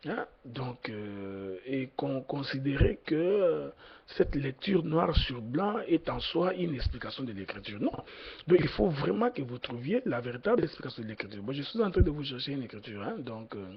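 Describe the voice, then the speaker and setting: This man's voice, medium in pitch and somewhat breathy, swings very widely in pitch and shows big swings in loudness. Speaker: preacher. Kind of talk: sermon. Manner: slow, deliberate; hesitant, many fillers.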